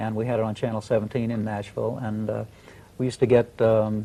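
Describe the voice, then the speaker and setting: Speaking with an American accent, a man uses a dark, mellow tone at medium pitch and a fairly quick pace. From Australia (rural New South Wales). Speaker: singer. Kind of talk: TV interview.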